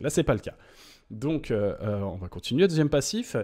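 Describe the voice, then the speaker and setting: With very wide pitch swings, a man talks over a quiet background. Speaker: gaming YouTuber. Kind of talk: game patch notes commentary. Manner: hesitant, many filler 'euh'. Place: home room.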